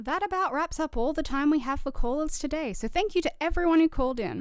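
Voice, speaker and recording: With an Australian accent, a woman talks at a fairly quick pace in a high voice with very wide pitch swings, music playing in the background. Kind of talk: scripted audio drama radio show host.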